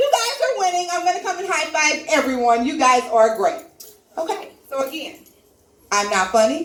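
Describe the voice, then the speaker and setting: Loud and animated, a woman speaks at an extremely high pitch with very wide pitch swings at a moderate pace, leaving long, frequent pauses, with audible room echo and noticeable background noise. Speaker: comedy open mic host. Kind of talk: stand-up hosting with audience. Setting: stage with live audience.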